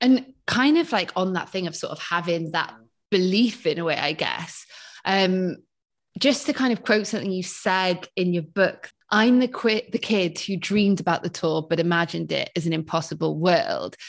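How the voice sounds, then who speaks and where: Against a quiet background, a woman in a South Wales accent speaks at a moderate pace and medium pitch with ordinary pitch variation. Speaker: podcast host. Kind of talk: interview.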